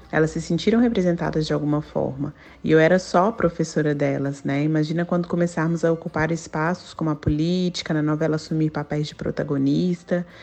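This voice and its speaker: A dark, mellow tone at a fairly quick pace, with fairly even intonation and hardly any pauses. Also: woman, very deep, low pitch for a woman. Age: 30s. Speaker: teacher. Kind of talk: recorded testimony.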